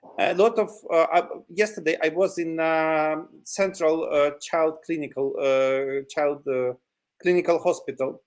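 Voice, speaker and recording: A man speaks at a fairly slow pace with a non-native accent. His pitch varies in an ordinary way. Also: fairly high pitch for a man. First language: Ukrainian or Russian. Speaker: territorial defense volunteer. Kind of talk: interview. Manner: halting, many fillers.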